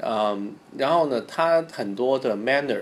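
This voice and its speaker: This is a man with an unremarkable speaking voice at a medium pitch. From Hong Kong. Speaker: guest. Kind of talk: casual chat.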